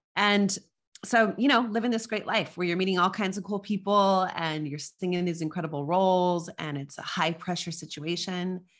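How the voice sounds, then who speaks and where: A woman with an American accent has a plain, everyday voice at a medium pitch, speaking at a moderate pace with ordinary pitch variation on a very clean recording with a silent background. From US Southwest, Las Cruces, New Mexico. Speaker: leadership coach, former opera singer. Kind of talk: interview conversation.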